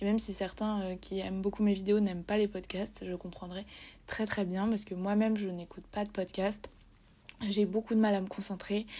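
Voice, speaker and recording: This woman's voice has a dark, mellow tone and is somewhat breathy. She keeps a moderate pace with monotone, flat intonation. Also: medium pitch for a woman. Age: 20s. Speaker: podcast host and social media writer. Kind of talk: casual monologue. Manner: halting.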